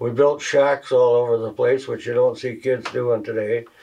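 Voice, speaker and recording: His intonation is monotone and flat. The man speaks in a rural Canadian accent. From Northwestern Ontario, Canada. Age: 80s+. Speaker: retired fuel industry worker. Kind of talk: interview. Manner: halting.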